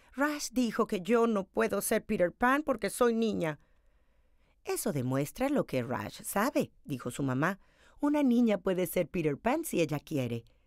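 A woman speaks at a fairly slow pace with vocal fry, an animated, warm tone and very wide pitch swings around a medium pitch, in a dry, close sound with no echo on a very clean recording with a silent background. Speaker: storyteller reading picture book aloud. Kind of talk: children's picture-book read-aloud storytelling. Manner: animated, expressive, varying tone for each character's dialogue; warm, clear, moderately paced narration for children.

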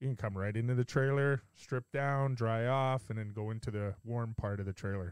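A plain, everyday voice: a man with a Canadian accent at medium pitch, fairly even intonation, a moderate pace and hardly any pauses, in a dry, close sound with no echo and a quiet background. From Canada. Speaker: podcast host. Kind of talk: casual chat. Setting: video call.

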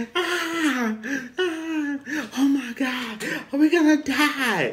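A put-on character voice at a high pitch moves at a very slow pace. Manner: screaming in fear.

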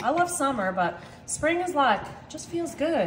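There is light background noise as a woman speaks at a moderate pace in a high voice. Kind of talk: casual cooking vlog chat. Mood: cheerful, chatty. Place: kitchen. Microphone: camera far.

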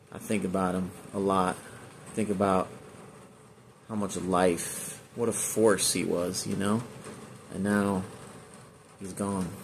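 A man with an American accent, fairly low in pitch, at a fairly slow pace, with monotone, flat intonation, long and frequent pauses, and light background noise. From Northern California (Chico); Northern California. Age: 40s. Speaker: online video creator. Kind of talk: personal tribute monologue. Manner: halting, many fillers. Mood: grieving, reflective. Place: home room. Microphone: phone near.

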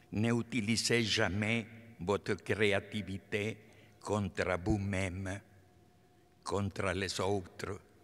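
A man speaks very slowly at a fairly low pitch in a Spanish accent, his intonation monotone and flat. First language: Spanish (speaking French). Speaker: artist, honorary doctorate recipient. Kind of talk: acceptance speech. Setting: concert hall stage with audience. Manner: halting. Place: hall. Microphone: podium.

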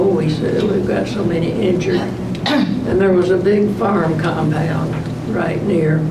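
A woman speaks at a fairly slow pace with loud noise in the background. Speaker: World War 2 nurse. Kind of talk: interview answer. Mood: calm, reflective. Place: meeting room.

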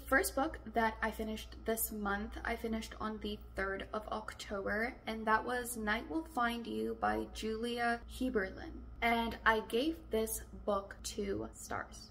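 A woman speaking at a fairly slow pace over light background noise. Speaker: book vlogger. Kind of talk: casual vlog chat. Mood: mildly disappointed, wry. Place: home room.

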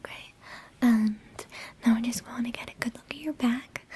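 With monotone, flat intonation, a woman talks at a fairly quick pace. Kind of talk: roleplay exam talk to the viewer. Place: home room.

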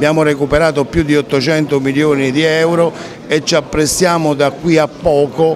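A man talks at a moderate speed in a flat, monotone intonation as noticeable noise runs in the background. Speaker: regional politician. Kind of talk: interview answer.

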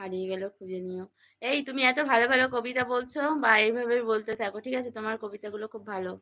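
A woman speaks with a bright, sharp tone at fairly high pitch. Her intonation stays fairly even. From West Bengal, Canning (Sundarban). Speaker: vlogger. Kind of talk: live stream chat with viewers.

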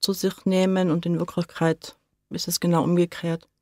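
In an unremarkable speaking voice, a woman speaks at a fairly slow pace and medium pitch, the sound dry and close with no echo in a very clean recording over a silent background. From Tyrol, Austria (Seefeld), born in Hamburg. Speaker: kitchen trainer in social psychiatry. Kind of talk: radio interview. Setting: radio studio.

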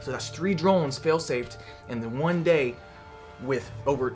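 Clear music plays in the background as the speaker talks at a moderate pace. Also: man. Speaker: drone hobby vlogger. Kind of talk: casual vlog chat. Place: workshop. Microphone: phone near.

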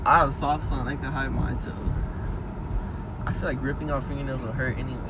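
A man is speaking. There is noticeable noise in the background. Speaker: vlogger passenger. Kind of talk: casual vlog chat. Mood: playful, laughing. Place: car.

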